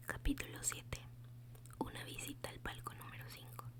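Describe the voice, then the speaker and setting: The speaker is whispering, soft-spoken throughout. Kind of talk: whispered ASMR audiobook reading for sleep. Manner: whispered, soft-spoken.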